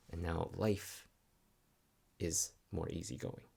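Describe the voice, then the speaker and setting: A soft-spoken man with a very deep, low pitch, ordinary pitch variation and vocal fry. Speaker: spiritual vlogger. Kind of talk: reflective monologue. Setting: at home. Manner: halting. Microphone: new microphone.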